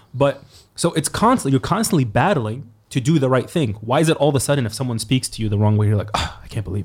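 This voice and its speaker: Over a silent background in a very clean recording, a man talks at a very fast pace with lively intonation, a medium pitch and a somewhat breathy sound. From Egypt. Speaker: podcast host. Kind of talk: casual chat.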